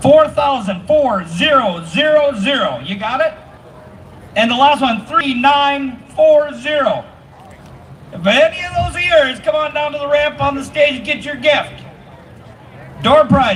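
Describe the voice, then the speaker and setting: The speech is loud, with lively intonation and long, frequent pauses, over noticeable background noise. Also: man, extremely high pitch for a man, fairly slow pace. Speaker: event emcee. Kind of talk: crowd announcements. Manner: animated.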